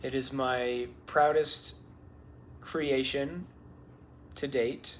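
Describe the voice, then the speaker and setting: Audible room echo surrounds a man talking at a very slow pace. His intonation is monotone and flat. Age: 20s. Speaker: parkour vlogger. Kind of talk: casual venting monologue. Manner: rambling, hesitant with fillers.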